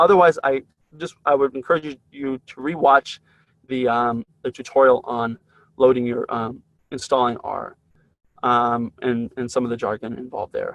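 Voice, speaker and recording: A man's medium-pitched voice with fairly even intonation and big swings in loudness, the sound dry and close with no echo. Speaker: university instructor. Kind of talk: lecture. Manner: fast; halting.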